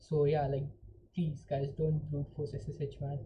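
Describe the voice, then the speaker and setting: At a moderate pace, a woman talks in a very deep, low pitch with a dark, mellow tone and vocal fry. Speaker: hacking tutorial streamer. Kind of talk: live tutorial. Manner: casual, filler-heavy.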